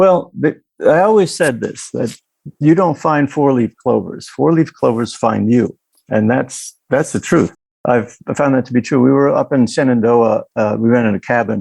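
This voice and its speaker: This man has an American accent and a medium pitch. He talks at a moderate pace with lively intonation. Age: 60s. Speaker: historic restoration contractor. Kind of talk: casual interview chat. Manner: halting.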